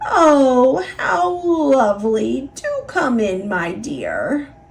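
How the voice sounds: A woman uses a put-on character voice that is croaky and high-pitched, cackling. She talks at a very slow pace.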